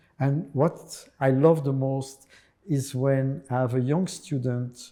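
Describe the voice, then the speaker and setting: A dark, mellow tone in a French accent at a very slow pace. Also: man. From France. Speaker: drama teacher and mime artist. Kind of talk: interview chat.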